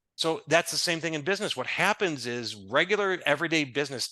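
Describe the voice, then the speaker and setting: The voice has a bright, sharp tone with vocal fry and moves at a fairly quick pace through very wide pitch swings. The sound is dry and close with no echo, over a quiet background. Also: man. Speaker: business consultant. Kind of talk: podcast interview. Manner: fast.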